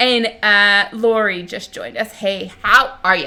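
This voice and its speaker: Speaking at a fairly slow pace, a woman uses a fairly high pitch with a bright, sharp tone and ordinary pitch variation. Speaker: genealogy livestream co-host. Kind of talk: casual live stream chat. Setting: live stream. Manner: loud; animated. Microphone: far from the mic.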